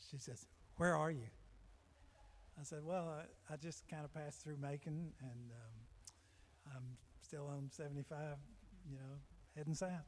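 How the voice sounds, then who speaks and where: Somewhat breathy and at a fairly slow pace with long, frequent pauses, a man speaks at a fairly high pitch with fairly even intonation amid audible room echo. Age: 70s. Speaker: singer-songwriter. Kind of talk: storytelling between songs. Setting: stage with audience.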